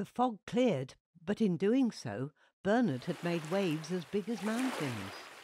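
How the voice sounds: Lively intonation runs through a natural reading voice. The background is quiet.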